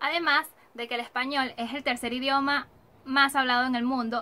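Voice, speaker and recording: At a fairly quick pace, a woman speaks in a raised, projected voice that is high-pitched, bright and sharp, with monotone, flat intonation. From Latin America. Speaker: YouTuber. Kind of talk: video presentation.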